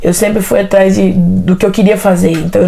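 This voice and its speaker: Amid noticeable background noise, a woman with a Tocantins accent speaks at a moderate pace. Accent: Tocantins accent, kept. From Brazil, Tocantins. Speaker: interview guest, environmental technologist. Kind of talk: interview, life story. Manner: casual, hesitant with fillers.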